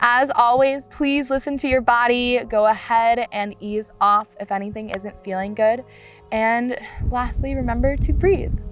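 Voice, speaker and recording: Music plays in the background as a woman speaks at a fairly high pitch with ordinary pitch variation. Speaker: yoga teacher. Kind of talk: guided yoga class instruction. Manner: calm, slow, gentle.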